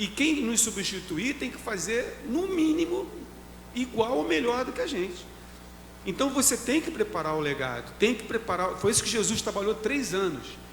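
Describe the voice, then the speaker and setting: A man with a high-pitched voice speaks at a moderate pace, his pitch swinging very widely. There is noticeable background noise. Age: 60s. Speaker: pastor. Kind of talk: casual chat.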